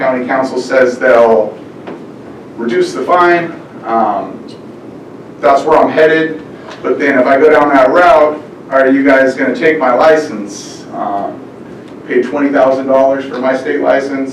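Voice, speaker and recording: Fairly slow, fairly evenly intoned speech with long, frequent pauses, audible room echo and noticeable background noise. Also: man, fairly high pitch for a man. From California, Bakersfield. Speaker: farmer. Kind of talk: public comment at meeting.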